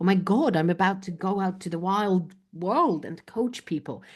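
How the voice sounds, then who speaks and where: Against a quiet background, a woman with a Polish accent speaks at a fairly low pitch with ordinary pitch variation. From Poland. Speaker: business coach. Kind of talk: interview answer.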